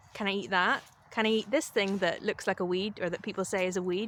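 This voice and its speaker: The speaker uses a Northern Irish accent, talking at a moderate pace with fairly even intonation. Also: woman. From Northern Ireland. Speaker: spiritual vlogger and life coach. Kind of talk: casual vlog talk to camera. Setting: outdoors in the woods.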